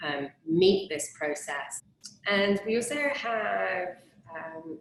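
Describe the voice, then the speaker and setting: A woman with an English accent speaks at a very slow pace. Her medium-pitched voice has lively intonation. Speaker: interviewer, cleanse program host. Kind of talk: online interview.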